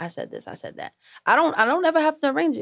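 A woman with a New York accent speaks with very wide pitch swings, recorded very cleanly against a silent background with a dry, close sound and no echo. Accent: New York City. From New York City, Harlem. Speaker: singer and rapper. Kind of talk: casual interview.

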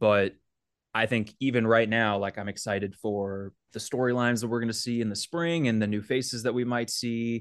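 Over a quiet background, a man with a normal speaking voice talks at a moderate pace, his medium pitch held at fairly even intonation. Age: 20s. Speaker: baseball beat reporter. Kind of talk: casual chat.

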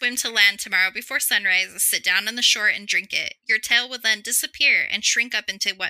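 The pitch moves in an ordinary way. It is a natural reading voice.

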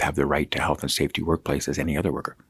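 Talking very fast with vocal fry, a man with a Canadian Prairie accent comes through in a dry, close sound with no echo. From Saskatchewan, Canada. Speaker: provincial agriculture minister.

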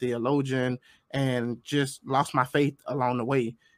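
An unremarkable speaking voice with an American accent, dry and close with no echo, on a very clean recording with a silent background. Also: man. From US, grew up in urban housing projects. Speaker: conservative political podcaster. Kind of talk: debate.

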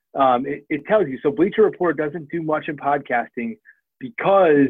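Delivered at a moderate pace with ordinary pitch variation, this is a normal speaking voice with an American accent. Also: man. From Washington DC. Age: 30s. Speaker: podcast network founder and former sports journalist. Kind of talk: interview conversation.

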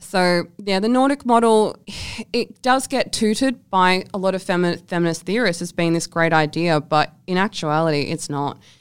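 Fairly low in pitch, a woman with an Australian accent talks at a moderate pace with lively intonation, on a very clean recording with a silent background. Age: 20s. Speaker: sex worker and writer. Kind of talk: interview.

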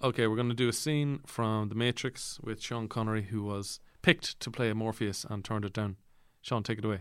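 A man speaks with an Irish accent at a medium pitch. The recording is very clean, with a silent background. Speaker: podcast host. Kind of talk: comedic interview.

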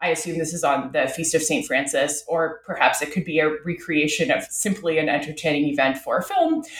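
A woman with a Canadian accent, very wide pitch swings and a somewhat breathy voice, on a very clean recording with a silent background. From Canada, Ottawa. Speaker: professor. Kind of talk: interview.

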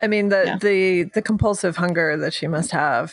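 Medium in pitch with ordinary pitch variation, the woman has an ordinary speaking voice. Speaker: podcast host. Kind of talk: casual chat.

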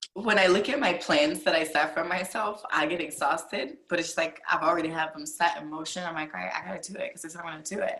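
Over noticeable background noise, a woman with an American accent speaks at a very fast pace with a fairly low pitch and big swings in loudness. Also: ordinary pitch variation, hardly any pauses. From Virginia. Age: 20s. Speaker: adult film performer. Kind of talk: casual chat. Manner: animated.

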